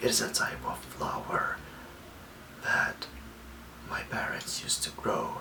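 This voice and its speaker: A man whispers at a fairly slow pace over noticeable background noise. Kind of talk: ASMR self-care talk to camera. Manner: soft whisper, calming.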